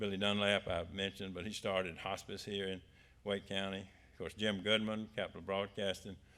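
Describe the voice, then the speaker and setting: Speaking at a fairly quick pace, a man keeps a fairly low pitch and monotone, flat intonation. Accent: American. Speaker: author. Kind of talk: talk to an audience.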